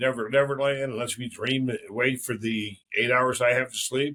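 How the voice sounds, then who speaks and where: A man speaks in a plain, everyday voice with an American accent. His pitch is medium, his pace moderate and his intonation fairly even. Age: 60s. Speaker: podcast host. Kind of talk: casual chat.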